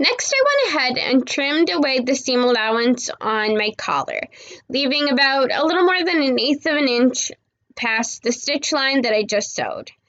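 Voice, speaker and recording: With ordinary pitch variation, a woman talks in a high pitch at a moderate pace. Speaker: home sewist. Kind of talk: sewing tutorial voice-over.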